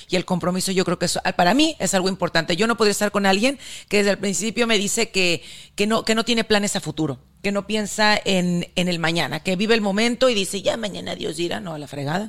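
Over a silent background in a very clean recording, a woman talks very fast at a medium pitch with ordinary pitch variation. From northern Mexico. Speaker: podcast co-host. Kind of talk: casual chat.

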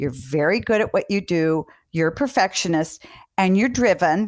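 A woman speaks with very wide pitch swings on a very clean recording with a silent background. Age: 60s. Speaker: parenting podcast host, doctor. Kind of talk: interview.

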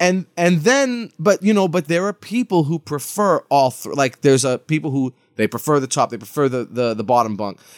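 A man with an American accent and a fairly high pitch speaks at a moderate pace with very wide pitch swings, the sound dry and close with no echo in a very clean recording over a silent background. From Massachusetts (Lawrence). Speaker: funk keyboardist and author. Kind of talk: casual chat.

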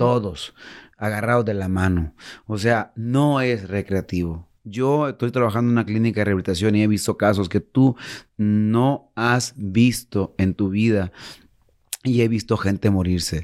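Speaking at a fairly slow pace in a Mexican accent, an animated man with a fairly low pitch and ordinary pitch variation is heard on a very clean recording with a silent background. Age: 40s. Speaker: musician in addiction recovery. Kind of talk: interview.

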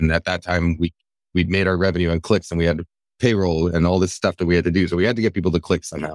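Very deep and low, a man's voice moves at a very fast pace in a monotone, flat intonation, with a dry, close sound and no echo. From Japanese-American household. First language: Japanese. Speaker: food science writer. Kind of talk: live interview. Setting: live online event with audience. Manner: halting, many fillers and restarts.

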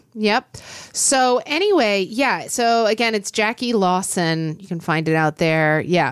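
On a very clean recording with a silent background, a woman with a normal speaking voice speaks fairly slowly at a medium pitch, with lively intonation and big swings in loudness. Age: 40s. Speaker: podcast co-host. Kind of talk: casual chat.

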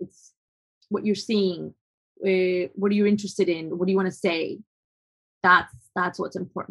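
A woman's medium-pitched voice in a Spanish accent, monotone and flat, at a moderate pace with long, frequent pauses. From Colombia. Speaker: photographer. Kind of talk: interview. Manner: halting, many fillers.

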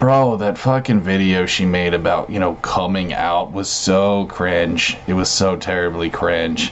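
A man with a very deep, low voice speaks at a fairly slow pace with hardly any pauses over noticeable background noise. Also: ordinary pitch variation. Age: 30s. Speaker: online content creator. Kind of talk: casual chat.

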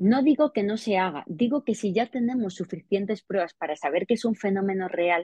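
Somewhat breathy delivery comes at a moderate pace with lively intonation. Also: woman. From Spain, Extremadura. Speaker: investigative journalist and author. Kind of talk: interview.

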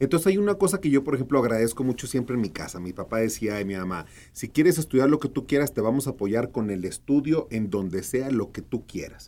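In a northern Mexican accent, a man talks at a very fast pace with hardly any pauses, his medium-pitched voice swinging very widely. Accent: northern Mexican (Sonoran), kept. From Mexico, Sonora (Hermosillo). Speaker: actor and producer. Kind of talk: casual interview. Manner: animated.

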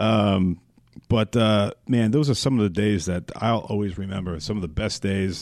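With an American accent, a plain, everyday voice shows ordinary pitch variation at a moderate pace. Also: man, fairly low pitch for a man. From US Northeast, Long Island. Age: 40s. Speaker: radio personality, former football player. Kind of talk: interview.

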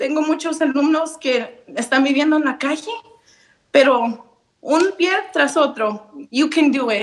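Pitched high, a woman speaks at a very slow pace with long, frequent pauses and ordinary pitch variation. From Michoacán, Mexico; raised in Nevada. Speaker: high school biology teacher. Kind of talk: motivational message.

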